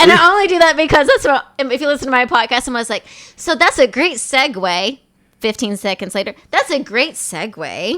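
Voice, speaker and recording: In a very clean recording with a silent background, a woman with a high pitch uses a raised, projected voice and a bright, sharp tone. Her pitch swings very widely at a fairly quick pace. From Tennessee, Johnson City. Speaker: podcast host. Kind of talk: casual chat.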